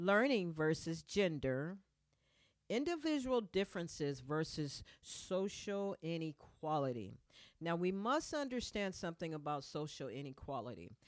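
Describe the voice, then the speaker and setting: The recording is very clean, with a silent background. A woman with a fairly low pitch speaks fairly slowly, her pitch swinging very widely. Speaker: podcast host. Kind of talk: motivational podcast monologue. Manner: occasional stutter.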